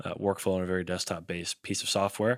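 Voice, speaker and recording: A man speaks with a very deep, low pitch. The recording is very clean with a silent background. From Kentucky, Elizabethtown. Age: 20s. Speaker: startup founder. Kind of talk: casual interview.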